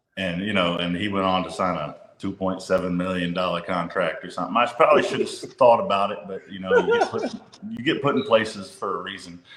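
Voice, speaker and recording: A man talks at a very fast pace with a Louisiana accent. His loudness swings widely. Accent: Louisiana Southern US. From northern Louisiana (Monroe). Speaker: high school basketball coach. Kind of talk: interview conversation.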